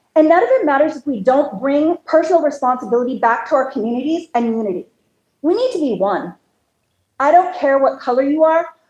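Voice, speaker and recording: A woman talks loudly at a fairly quick pace. Her voice is high. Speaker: county commissioner candidate. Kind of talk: campaign speech. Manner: animated.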